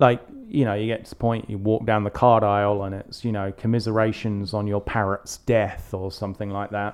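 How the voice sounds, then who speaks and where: With an English accent, a man speaks at a fairly low pitch in a monotone, flat way. His pace is moderate against a quiet background. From England. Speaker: podcast co-host. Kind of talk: casual chat.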